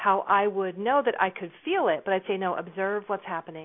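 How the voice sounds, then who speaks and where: A woman's medium-pitched voice with ordinary pitch variation, at a moderate pace. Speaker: intuitive guide and clairvoyant. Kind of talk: casual interview chat.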